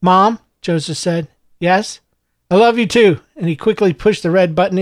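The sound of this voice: With ordinary pitch variation, an unforced reading voice comes through a quiet background.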